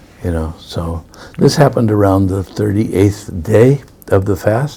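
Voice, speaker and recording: With an American accent, a man speaks at a fairly slow pace in a fairly low pitch, with noticeable background noise behind him. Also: ordinary pitch variation. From US, New York. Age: 70s. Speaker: spiritual teacher. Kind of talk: interview conversation. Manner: halting.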